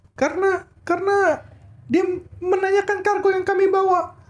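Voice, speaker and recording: This is a put-on character voice at an extremely high pitch. The pace is moderate. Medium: actual play. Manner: stammering, halting.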